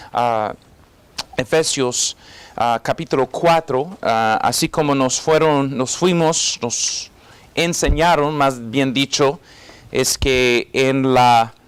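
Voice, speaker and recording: The delivery is very slow, with ordinary pitch variation, very even loudness and a dry, close sound with no echo. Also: man, medium pitch for a man. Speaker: pastor and evangelist. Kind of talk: sermon. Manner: halting, many fillers and repeats.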